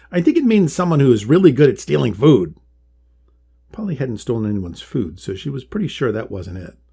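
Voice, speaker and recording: This man has a dark, mellow tone with vocal fry at a medium pitch. He talks at a very fast pace with very wide pitch swings. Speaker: author and illustrator reading own story. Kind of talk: children's storybook reading.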